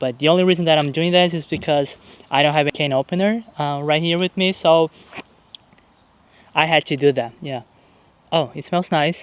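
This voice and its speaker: This man speaks in a strong Brazilian accent. His pitch sits fairly high. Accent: thick Brazilian Portuguese. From Brazil, small town. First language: Portuguese. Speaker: YouTuber. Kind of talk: casual vlog talk to camera. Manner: casual with hesitations.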